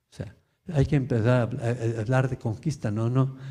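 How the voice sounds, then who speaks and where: This man's somewhat breathy voice has a medium pitch, a dark, mellow tone, and fairly even intonation, with audible room echo. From Mexico. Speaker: lecturer. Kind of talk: Q&A after lecture.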